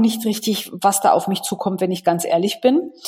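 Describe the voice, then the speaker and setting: There is an ordinary amount of pitch movement in this woman's somewhat breathy speech. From Munich, Bavaria. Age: 40s. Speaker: sales and HR consultant. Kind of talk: interview.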